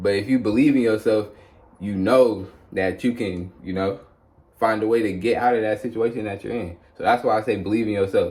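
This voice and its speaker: At a fairly quick pace, a man with a plain, everyday voice speaks at a fairly low pitch with fairly even intonation. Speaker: YouTuber sharing spiritual testimony. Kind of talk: testimony monologue. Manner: casual, conversational.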